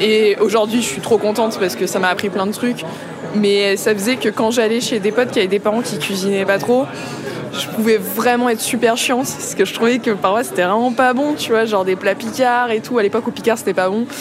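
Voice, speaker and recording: Recorded with audible room echo and noticeable background noise, a woman with a fairly high pitch talks at a fairly quick pace with fairly even intonation. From Paris and Vitry-sur-Seine suburbs, France. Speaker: musician. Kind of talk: casual chat.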